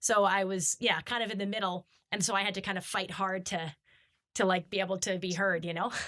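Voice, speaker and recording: The voice moves at a fairly quick pace with monotone, flat intonation. Its tone is bright and sharp. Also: woman, medium pitch for a woman. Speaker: podcast host. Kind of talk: casual interview chat. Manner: fast.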